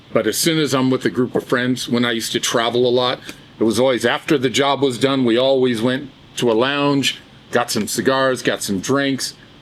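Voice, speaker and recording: A man speaks at a moderate pace and very even loudness, his medium pitch carrying fairly even intonation over noticeable background noise. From US West (Southern California). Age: 70s. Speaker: cigar brand co-founder and musician. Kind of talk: casual chat.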